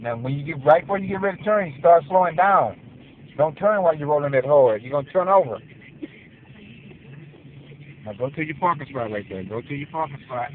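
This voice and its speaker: A man talks with big swings in loudness and long, frequent pauses. The sound is dry with no echo, over light background noise. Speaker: passenger coaching the driver. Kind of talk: casual commentary and instruction. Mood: playful teasing. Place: car. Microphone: phone near.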